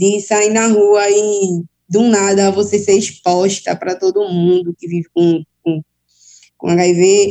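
Her intonation fairly even, a woman talks in a plain, everyday voice at a medium pitch. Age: young. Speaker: HIV activist. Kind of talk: personal testimony.

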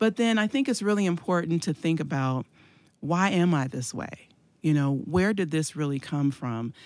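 A woman with a normal speaking voice and a fairly low pitch talks at a moderate pace with lively intonation, in a very clean recording with a silent background. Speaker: evangelist and church leader. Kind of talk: casual chat.

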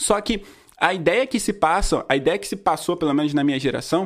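Lively intonation marks this fairly fast-paced delivery. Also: man. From Rio de Janeiro state, Brazil. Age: 20s. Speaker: independent musician and podcast host. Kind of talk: casual educational talk.

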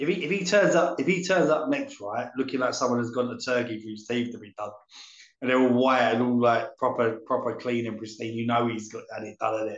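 Speaking in a plain, everyday voice at a fairly quick pace, a man has medium pitch with ordinary pitch variation. His loudness swings widely. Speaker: wrestling podcast co-host. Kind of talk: casual chat, show review.

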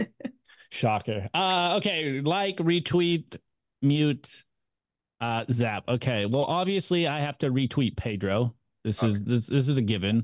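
A man's medium-pitched voice, with lively intonation and a fairly slow pace. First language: not English. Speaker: bitcoin YouTube show host, podcast guest. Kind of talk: casual chat. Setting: video call.

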